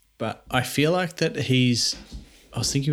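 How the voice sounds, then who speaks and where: Against a silent background in a very clean recording, a plain, everyday voice speaks. The pace is fairly slow and the intonation lively. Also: man. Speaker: podcast host. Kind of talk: casual chat.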